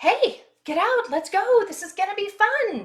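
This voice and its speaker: Using a put-on character voice, a woman speaks in an extremely high, squeaky pitch at a fairly slow pace. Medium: read story.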